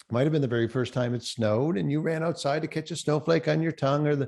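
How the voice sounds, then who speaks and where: A man with a Cape Breton accent and a fairly high pitch, talking at a very fast pace with ordinary pitch variation, over a quiet background. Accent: Cape Breton Canadian. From Cape Breton, Nova Scotia, Canada. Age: 60s. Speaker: professional speaker. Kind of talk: keynote presentation. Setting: virtual forum. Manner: animated.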